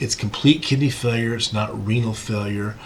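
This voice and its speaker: A man speaks at a fairly low pitch with fairly even intonation. Noticeable background noise and audible room echo are present. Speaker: physician lecturer. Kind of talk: lecture. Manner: fast.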